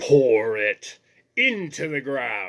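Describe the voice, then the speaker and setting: A man performs a put-on character voice with a menacing tone at a medium pitch. It sounds raspy and shrill. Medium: read story. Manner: menacing, commanding.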